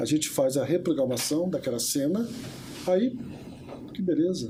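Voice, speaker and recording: A man at a fairly high pitch with very wide pitch swings, moderate pace and noticeable background noise. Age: 70s. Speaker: therapist. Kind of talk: interview. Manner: hesitant fillers.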